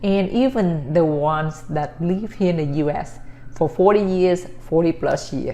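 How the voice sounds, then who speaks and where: A woman talks fairly slowly in a Vietnamese accent. Her pitch is fairly low with ordinary variation. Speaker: vlogger. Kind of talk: casual talk to camera. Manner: halting.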